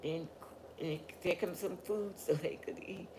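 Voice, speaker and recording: Fairly slow speech from a woman, with noticeable noise in the background. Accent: Southern US. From US South, rural Georgia. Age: 90s. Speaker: family elder interviewed. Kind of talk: oral history interview.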